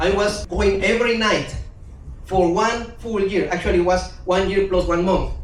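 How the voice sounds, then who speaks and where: A man with a Spanish accent speaks at a high pitch and a fairly slow pace. Audible room echo and noticeable background noise are present. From Guatemala. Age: 50s. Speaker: language teacher. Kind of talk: talk to a live audience.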